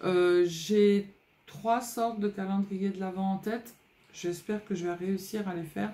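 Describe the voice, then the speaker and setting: A somewhat breathy woman's voice, dark and mellow, medium in pitch, with fairly even intonation. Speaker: scrapbooking youtuber. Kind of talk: casual vlog chat. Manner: hesitant, many fillers.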